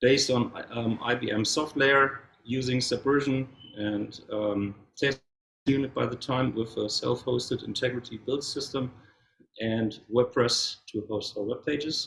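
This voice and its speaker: Speaking at a fairly slow pace, a man with a German accent keeps a medium pitch and fairly even intonation. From Germany. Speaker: software developer. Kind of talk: conference talk. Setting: meetup with audience.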